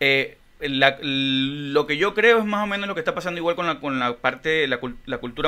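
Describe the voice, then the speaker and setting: A man talks at a moderate pace in a fairly high pitch with ordinary pitch variation. He uses an ordinary speaking voice. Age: 30s. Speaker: podcast co-host and musician; podcast co-host. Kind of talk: casual chat. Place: studio. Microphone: studio mic.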